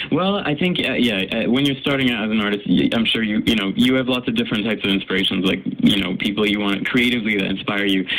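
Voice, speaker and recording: Amid noticeable background noise, a man at medium pitch talks at a very fast pace with hardly any pauses and ordinary pitch variation. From Canada, raised in Paris. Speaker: singer. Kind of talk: radio interview. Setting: radio studio.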